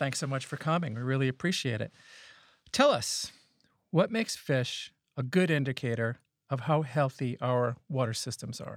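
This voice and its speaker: In a very clean recording with a silent background, a man with a medium pitch speaks at a moderate pace with ordinary pitch variation and long, frequent pauses. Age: 50s. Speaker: podcast host and water scientist. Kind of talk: interview. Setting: studio.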